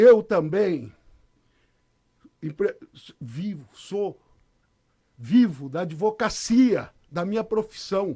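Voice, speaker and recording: A man with a high pitch and a dark, mellow tone speaks very slowly, with long, frequent pauses. His intonation is lively and his loudness swings widely. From Brazil, Catanduva (São Paulo state). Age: 60s. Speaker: lawyer and mayoral candidate. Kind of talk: radio interview.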